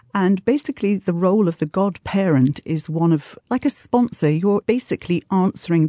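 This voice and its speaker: A woman speaks with a dark, mellow tone. The sound is dry and close with no echo, against a quiet background. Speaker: godparent. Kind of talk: interview.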